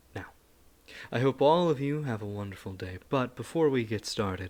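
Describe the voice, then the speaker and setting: Someone with a normal speaking voice talks at a moderate pace with lively intonation. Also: man. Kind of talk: casual talk to camera.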